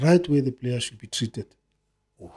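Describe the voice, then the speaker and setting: Over a quiet background, a man's fairly high, somewhat breathy voice carries a dark, mellow tone and ordinary pitch variation. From South Africa, Soweto; South Africa. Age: 50s. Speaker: retired footballer; podcast guest. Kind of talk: casual chat. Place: studio. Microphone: studio mic.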